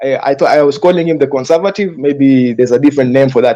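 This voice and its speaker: A man speaks very fast in a fairly high voice with a dark, mellow tone. His pitch varies in an ordinary way. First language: not English. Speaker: panelist. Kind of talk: heated debate. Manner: halting.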